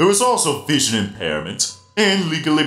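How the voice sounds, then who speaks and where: A man does a put-on character voice, fairly high in pitch. Faint music plays in the background. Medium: dub. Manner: friendly, cheerful.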